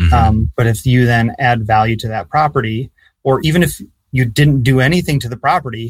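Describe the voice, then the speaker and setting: A man's somewhat breathy, medium-pitched voice at a fairly quick pace with ordinary pitch variation. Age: 30s. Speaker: real estate investor and student. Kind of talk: interview. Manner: halting.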